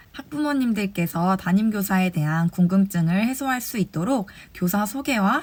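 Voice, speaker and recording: A somewhat breathy woman's voice at medium pitch, moderate in pace, with lively intonation. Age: 20s. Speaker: kindergarten teacher sharing advice. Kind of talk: advice talk to fellow teachers. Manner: formal.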